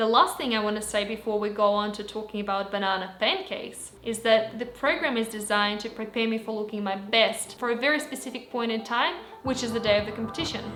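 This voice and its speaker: A woman with a Russian accent speaks very fast at a fairly high pitch, with ordinary pitch variation and hardly any pauses. Noticeable background noise and audible room echo surround her. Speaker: fitness vlogger, amateur bodybuilder. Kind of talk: vlog tutorial. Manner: halting, repeated takes.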